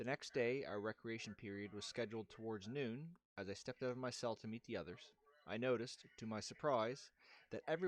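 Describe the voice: The recording consists of plain reading aloud.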